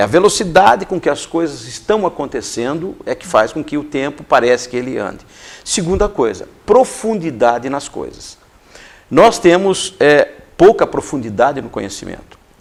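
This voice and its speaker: A fairly high male voice with vocal fry, very wide pitch swings and big swings in loudness. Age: 60s. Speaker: educator and coach. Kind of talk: interview.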